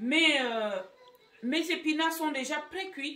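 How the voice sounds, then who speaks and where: A woman talks fairly slowly, her intonation lively. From Gabon and Equatorial Guinea. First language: Fang (Equatorial Guinean language) (speaking French). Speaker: cooking YouTuber. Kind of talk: cooking tutorial. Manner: casual, with frequent hesitations.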